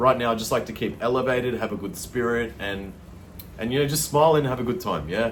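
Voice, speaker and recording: A man speaks very fast at a medium pitch, with lively intonation, vocal fry and audible room echo. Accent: Australian. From Australia. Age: 30s. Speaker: vlogger. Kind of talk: casual storytelling monologue. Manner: casual, filler-heavy.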